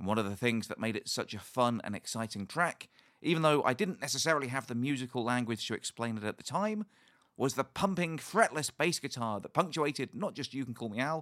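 With a British accent, a man talks at a fairly quick pace in a fairly high pitch, his tone enthusiastic and his intonation lively, recorded with a dry, close sound and no echo. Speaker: podcast host and ukulele teacher. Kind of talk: casual interview.

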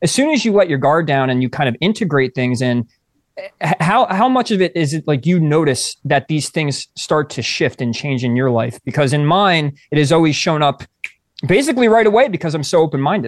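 A man with a plain, everyday voice and fairly high pitch talks at a fairly quick pace with lively intonation, recorded in a dry, close sound with no echo. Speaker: podcast co-host. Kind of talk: casual chat.

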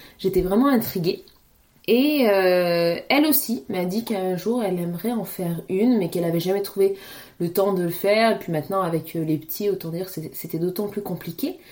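Her pitch varies in an ordinary way. The woman's voice sits at a medium pitch. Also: moderate pace. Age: 30s. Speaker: podcast host, mother. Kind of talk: casual solo monologue. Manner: hesitant, many repetitions.

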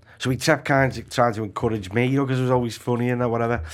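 A man's medium-pitched voice in a Liverpool accent at a very fast pace. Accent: Scouse. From Liverpool, Walton / Anfield. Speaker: actor and comedian. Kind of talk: casual chat.

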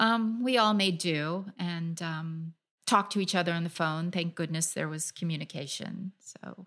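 An ordinary speaking voice, this woman has a fairly low pitch, ordinary pitch variation and an American accent, talking at a moderate pace on a very clean recording with a silent background. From US (California). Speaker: freelance travel writer. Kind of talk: interview.

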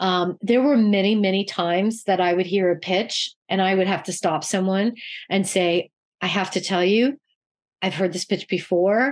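Against a quiet background, a woman speaks at a medium pitch with ordinary pitch variation and very even loudness. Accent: Canadian. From Canada. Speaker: children's TV producer. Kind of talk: interview. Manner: halting, many fillers.

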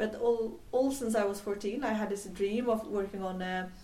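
Delivered at a moderate pace with a Swedish accent, the speech keeps a fairly even intonation. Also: woman. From Sweden, island near Gothenburg (west coast). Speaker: tech entrepreneur. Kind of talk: interview. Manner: halting, many fillers.

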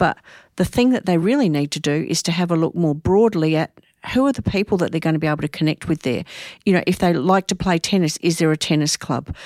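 Very fast and lively in intonation, a woman with an Australian accent and fairly low pitch is heard in a very clean recording with a silent background and a dry, close sound with no echo. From Australia, Adelaide. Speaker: psychology professor. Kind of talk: casual interview.

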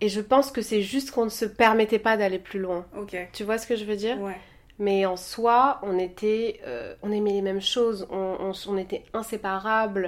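Here is an unremarkable speaking voice from a woman, pitched fairly high. She keeps a moderate pace and fairly even intonation. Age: 30s. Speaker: podcast guest, Instagram personality. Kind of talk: casual chat.

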